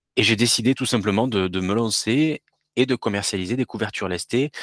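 A man speaks fairly quickly with ordinary pitch variation, the sound dry and close with no echo. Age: 40s. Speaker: entrepreneur selling sleep products. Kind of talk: podcast interview. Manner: hesitant, many repetitions.

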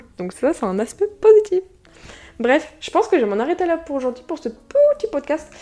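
A woman's fairly quick delivery with lively intonation, music playing in the background. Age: young. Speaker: YouTuber and podcast host. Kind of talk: casual solo podcast talk. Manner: fast.

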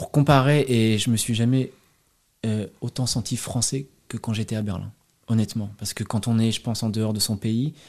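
At medium pitch and a moderate pace, a man speaks with ordinary pitch variation on a very clean recording with a silent background. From France, Loire Valley (Montbazon area). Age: 30s. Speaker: expatriate. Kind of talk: interview. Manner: hesitant, many fillers.

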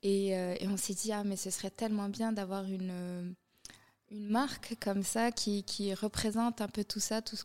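A woman speaks at a moderate pace and medium pitch with fairly even intonation, the sound dry and close with no echo. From Morocco. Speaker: fashion designer and influencer. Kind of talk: interview. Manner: hesitant, many fillers.

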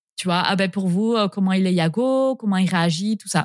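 A woman talks with ordinary pitch variation in a dry, close sound with no echo. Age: 30s. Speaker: horse owner. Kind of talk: interview.

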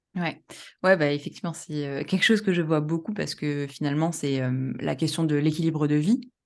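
A woman speaks in a very deep, low voice. The background is quiet. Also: ordinary pitch variation, fairly quick pace. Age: 30s. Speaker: professional coach and statistician. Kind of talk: casual interview chat. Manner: hesitant, many fillers.

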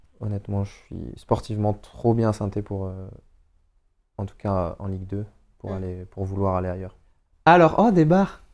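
The speech moves at a fairly slow pace with long, frequent pauses. Loudness swings widely, while pitch varies in an ordinary way. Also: man, fairly low pitch for a man. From Paris suburbs, Seine-Saint-Denis. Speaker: professional footballer. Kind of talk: casual chat. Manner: animated.

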